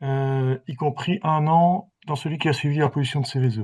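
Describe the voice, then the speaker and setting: A somewhat breathy voice, dark and mellow, at a fairly slow pace with ordinary pitch variation over a quiet background. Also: man. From Belgium. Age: 60s. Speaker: patient giving testimony, chemical engineer. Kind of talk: testimony. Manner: hesitant.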